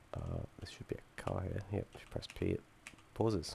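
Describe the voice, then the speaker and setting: A man's dark, mellow tone carries noticeable vocal fry. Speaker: student game developer. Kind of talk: software demo presentation. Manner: halting with many fillers.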